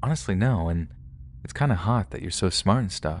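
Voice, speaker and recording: A man delivers his lines in a dramatic tone with vocal fry. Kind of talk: scripted first-person horror narration of true-crime stories. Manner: tense, hushed, suspenseful storytelling with dramatic pauses; conversational and confessional, building dread.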